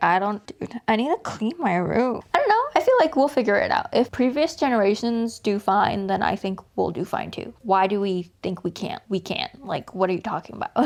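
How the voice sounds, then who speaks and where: With an American accent, a woman speaks at a moderate pace and a fairly high pitch, her intonation lively and hardly any pauses. Noticeable background noise runs underneath. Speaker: vlogger. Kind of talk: casual vlog monologue. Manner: loud; chatty, filler-heavy.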